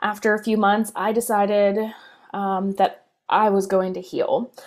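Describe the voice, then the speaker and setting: A woman speaks with an American accent. Her pitch is fairly high and her pace fairly slow. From US Northeast. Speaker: spiritual coach. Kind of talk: personal story monologue.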